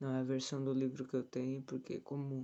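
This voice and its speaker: Soft-spoken, a man talks at a medium pitch with a dark, mellow tone. The background is quiet. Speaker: tai chi teacher. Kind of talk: reading aloud with commentary, meditation livestream. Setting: livestream from someone else's home. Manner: soft-spoken, quiet. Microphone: phone mic, speaking close to it.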